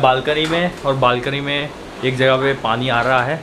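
Noticeable background noise sits behind a man talking at a fairly slow pace. His intonation is flat and monotone. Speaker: vlogger. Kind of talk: casual vlog chat. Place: home room. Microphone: phone near.

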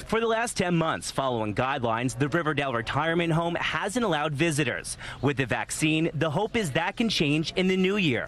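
A man talks at a fairly quick pace with lively intonation, very even loudness, hardly any pauses, and a dry sound with no echo. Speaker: TV news reporter. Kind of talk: live TV news report.

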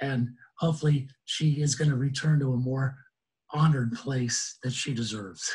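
A man speaks at a medium pitch and a moderate pace. His tone is slightly mellow and his intonation fairly even.

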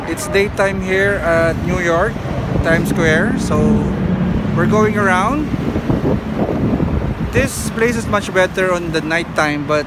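Music plays in the background as a man speaks at a very slow pace with long, frequent pauses. His pitch variation is ordinary, and the sound is dry with no echo. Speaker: vlogger. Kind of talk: casual vlog chat. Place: street. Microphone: phone near.

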